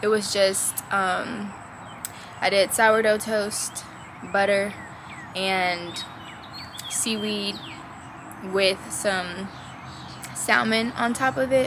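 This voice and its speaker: A woman speaks with fairly even intonation and long, frequent pauses. Noticeable background noise runs underneath. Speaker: vlogger. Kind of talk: casual vlog chat.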